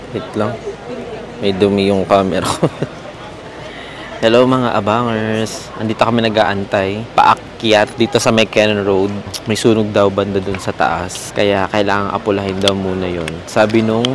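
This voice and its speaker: Noticeable background noise and audible room echo surround a man speaking at a fairly slow pace. His fairly low voice keeps a monotone, flat intonation. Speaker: travel vlogger. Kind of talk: casual travel vlog.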